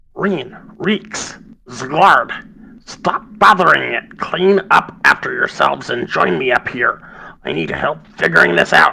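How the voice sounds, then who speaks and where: A man uses a put-on character voice, raised and projected, raspy and high-pitched. He talks at a fairly slow pace. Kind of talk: calling down from upstairs. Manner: loud.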